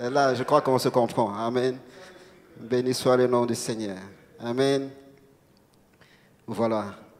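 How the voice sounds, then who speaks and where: A man's voice sits at a medium pitch, moving at a moderate pace with fairly even intonation. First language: not French (speaking French). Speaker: preacher. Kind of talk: sermon. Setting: church. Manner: halting.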